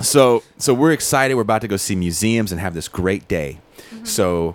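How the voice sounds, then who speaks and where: With a normal speaking voice, a man talks at moderate pace and fairly low pitch with lively intonation. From Richmond, California. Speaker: touring band musician. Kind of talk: casual interview chat.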